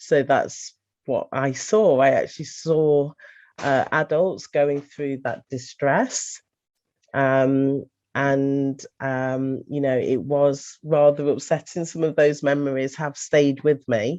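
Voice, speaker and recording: Very slowly and with fairly even intonation, a woman with an English accent speaks in a very deep, low voice with a dark, mellow tone. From England. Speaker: lifestyle coach. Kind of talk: testimony. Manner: halting.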